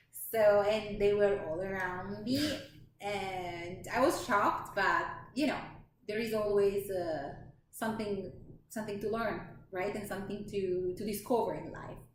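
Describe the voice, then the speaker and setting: The speech comes at a fairly slow pace with ordinary pitch variation. Audible room echo and noticeable background noise are present. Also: woman, medium pitch for a woman. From Italy. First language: Italian. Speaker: lifestyle vlogger. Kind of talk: casual chat. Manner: halting.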